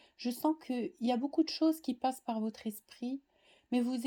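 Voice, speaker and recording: A woman speaks at a high pitch in a dark, mellow tone with fairly even intonation. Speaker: tarot card reader. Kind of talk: tarot reading monologue. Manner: hesitant, many fillers.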